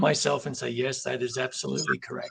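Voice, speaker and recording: A man with an Australian accent talks with vocal fry. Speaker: company president. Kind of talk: interview. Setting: live video stream.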